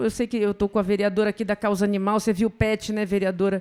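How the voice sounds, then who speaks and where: A woman with a northern Brazilian accent speaks at a medium pitch. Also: very clean recording, silent background. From northern Brazil, Belém do Pará. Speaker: professor, public health. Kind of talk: conference talk. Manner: seated.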